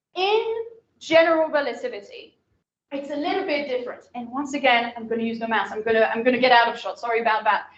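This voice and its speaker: A woman with a high-pitched voice talks at a very fast pace, with ordinary pitch variation. Audible room echo surrounds her. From France, Pyrenees. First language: French. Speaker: astrophysicist lecturer. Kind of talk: public lecture. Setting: lecture hall with live audience. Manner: energetic, enthusiastic.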